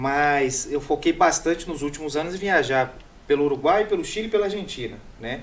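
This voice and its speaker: An unremarkable speaking voice: a man, fairly high in pitch, with ordinary pitch variation at a fairly quick pace. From Minas Gerais, Brazil. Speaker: food content creator and radio columnist. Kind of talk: casual chat.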